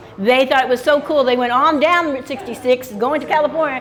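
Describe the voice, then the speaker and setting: Loud and very fast, a woman speaks amid noticeable background noise and audible room echo. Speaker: retired small business owner on Route 66. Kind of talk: interview.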